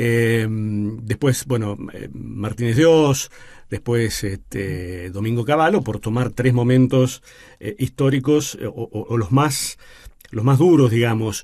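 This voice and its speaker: Very slowly, a man talks in a medium pitch. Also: ordinary pitch variation. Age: 60s. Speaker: radio host. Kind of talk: radio interview.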